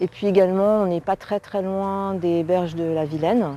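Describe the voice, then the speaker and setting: A woman at a fairly slow pace, her tone dark and mellow, her pitch medium. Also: very clean recording, silent background. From France, Rennes (Brittany). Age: 60s. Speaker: local resident, retiree. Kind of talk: testimonial interview. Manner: hesitant, many fillers.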